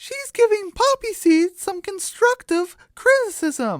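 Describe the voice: A man's put-on character voice, extremely high-pitched with very wide pitch swings, at a slow pace, in a dry, close sound with no echo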